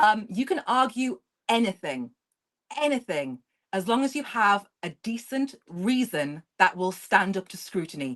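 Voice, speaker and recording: In an English accent, a woman speaks at a fairly slow pace. Her medium pitch makes very wide swings. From England. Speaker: history content creator. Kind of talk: casual chat.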